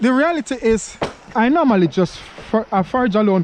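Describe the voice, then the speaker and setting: Someone with a Jamaican accent talks at a moderate pace over noticeable background noise. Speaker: vlogger. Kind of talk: casual chat. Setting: outdoors. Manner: halting.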